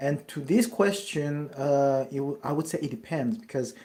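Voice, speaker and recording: A man with a dark, mellow tone talks at a moderate pace. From France, Paris. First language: French. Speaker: network marketer. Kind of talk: live Q&A. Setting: livestream. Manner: halting, with many fillers and self-corrections.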